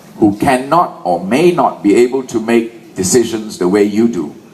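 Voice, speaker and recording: Noticeable background noise and audible room echo surround a man's voice. He talks at a fairly slow pace with very wide pitch swings. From Malaysia. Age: 60s. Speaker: political rally speaker. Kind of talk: political rally speech. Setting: stage with audience. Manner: animated.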